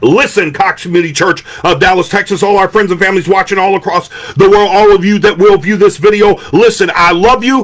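Animated and fairly quick, a man speaks with a high pitch. His pitch variation is ordinary, with light background noise behind him. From Detroit, Michigan. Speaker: pastor. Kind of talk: sermon. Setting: indoor room, live stream. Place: home room. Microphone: studio mic.

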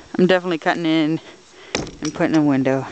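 Noticeable background noise accompanies a fairly quick delivery. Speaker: painter. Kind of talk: casual talk to camera.

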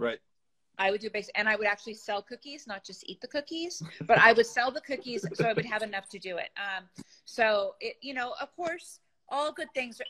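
A woman talks at a fairly quick pace with a bright, sharp tone and lively intonation. The background is quiet. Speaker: guest teacher. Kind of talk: interview answer. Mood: enthusiastic, laughing. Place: home room. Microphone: phone near.

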